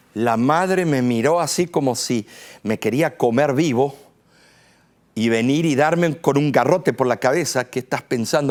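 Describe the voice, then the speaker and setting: A man with lively intonation and a fairly high voice talks at a fairly slow pace, recorded very cleanly against a silent background. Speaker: pastor. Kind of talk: sermon. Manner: forceful.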